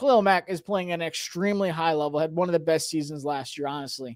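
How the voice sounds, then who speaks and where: Loud and fairly quick, a man speaks on a very clean recording with a silent background. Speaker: sports YouTuber, fan channel host. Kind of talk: livestream chat with viewers. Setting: home livestream. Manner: animated, passionate.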